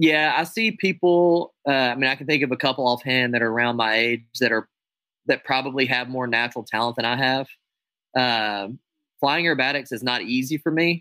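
A plain, everyday voice from a man with an American accent, medium in pitch, fairly quick in pace, with ordinary pitch variation. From United States. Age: 30s. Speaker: air show pilot and air racer. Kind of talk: casual interview chat.

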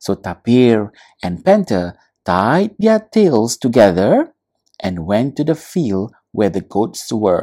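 A natural reading voice is heard with little behind it but quiet.

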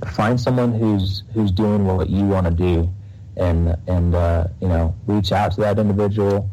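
Speaking at a fairly slow pace, a man with a fairly low pitch keeps very even loudness and fairly even intonation, with audible room echo and noticeable background noise. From Texas. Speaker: Navy reservist and real estate investor. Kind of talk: interview. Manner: halting, many fillers.

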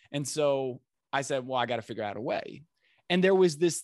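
A man speaks with an American accent against a quiet background. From New Jersey, US. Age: 30s. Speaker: speaker coach. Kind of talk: podcast interview. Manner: animated.

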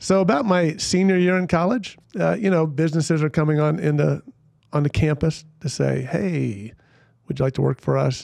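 An unremarkable speaking voice from a man, fairly high in pitch, with ordinary pitch variation and very even loudness. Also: moderate pace. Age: 50s. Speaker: Presbyterian pastor and speaker. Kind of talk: casual chat.

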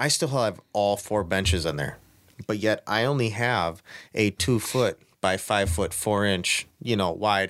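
A man with an American accent in an ordinary speaking voice, fairly low-pitched, at a fairly slow pace with ordinary pitch variation. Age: 30s. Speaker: bass angler. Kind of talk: casual chat.

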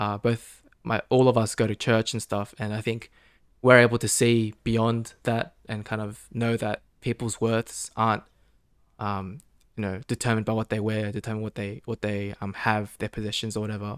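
In a dry, close sound with no echo and a very clean recording with a silent background, a man with an Australian accent talks at a moderate pace and medium pitch in monotone, flat intonation. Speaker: podcast guest. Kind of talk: casual chat. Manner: halting.

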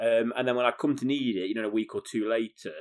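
Very fast speech from a man with fairly even intonation, in a dry, close sound with no echo. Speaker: podcast host. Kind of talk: casual chat. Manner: chatty, joking.

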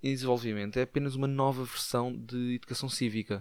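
The speaker has a European Portuguese accent. The pace is fairly quick. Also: man. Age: 50s. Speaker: podcaster. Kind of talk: comedic monologue.

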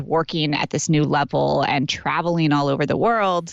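Her voice very deep and low, a woman speaks in an energetic tone at a moderate pace with ordinary pitch variation. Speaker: business and life coach. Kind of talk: casual chat. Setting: in a closet at home.

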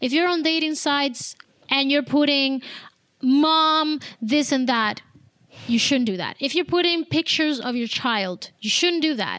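A woman with a Spanish accent speaks at a fairly slow pace. Her voice is high, with ordinary pitch variation. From Cuba. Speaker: abuse survivor and mental health coach. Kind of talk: testimony.

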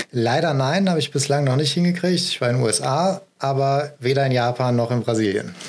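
A man's fairly high voice at a fairly quick pace, with ordinary pitch variation, very even loudness and hardly any pauses, over noticeable background noise. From Ruhr area, Germany (Essen). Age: 30s. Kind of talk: interview.

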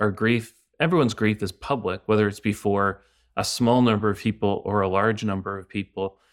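In a Canadian accent, a man with a normal speaking voice and fairly low pitch talks at a fairly quick pace with ordinary pitch variation on a very clean recording with a silent background. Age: 40s. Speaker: pastor and author. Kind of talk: podcast interview on grief.

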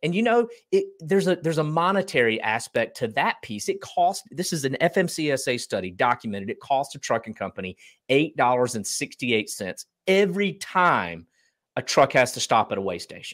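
In a North Carolina accent, a man talks at a fairly quick pace with very wide pitch swings, on a very clean recording with a silent background. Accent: Southern US (North Carolina). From Eastern North Carolina. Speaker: business founder. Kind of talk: casual interview.

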